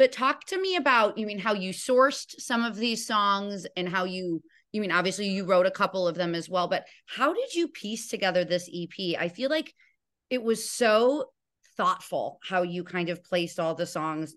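Against a quiet background, a woman with an American accent speaks at a moderate pace in a medium pitch. Her tone is animated and her intonation lively. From Illinois. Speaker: podcast host. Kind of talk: interview.

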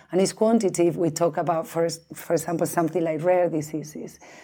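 A woman with a fairly low pitch speaks with a Spanish accent in a very clean recording with a silent background. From Spain. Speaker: biobank director. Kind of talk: interview. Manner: halting, many fillers and restarts.

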